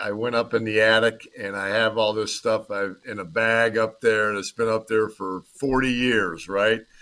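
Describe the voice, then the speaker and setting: With a US Midwestern accent, a man talks at a moderate pace, his medium pitch following a fairly even intonation. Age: 60s. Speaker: former football player. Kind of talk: casual interview chat.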